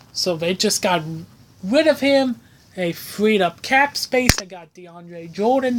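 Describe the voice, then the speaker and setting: Noticeable background noise surrounds a woman speaking at a fairly high pitch. Her tone is animated and her intonation lively. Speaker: sports podcast host. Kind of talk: casual sports commentary. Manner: profane, animated.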